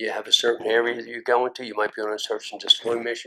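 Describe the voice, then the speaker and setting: A man with a Philadelphia accent. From North Philadelphia. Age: 70s. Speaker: Vietnam War combat veteran. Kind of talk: oral history interview answer.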